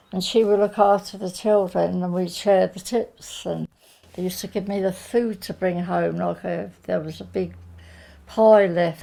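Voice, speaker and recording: A woman in a southern English accent, moderate in pace, with big swings in loudness. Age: 80s+. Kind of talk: interview answer. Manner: quiet, reflective.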